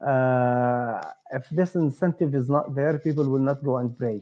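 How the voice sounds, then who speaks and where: Using an Arabic accent, a man with a dark, mellow tone and fairly high pitch speaks at a fairly slow pace with ordinary pitch variation. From Palestine. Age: 40s. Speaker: startup co-founder and entrepreneur. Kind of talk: interview. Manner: halting, many fillers.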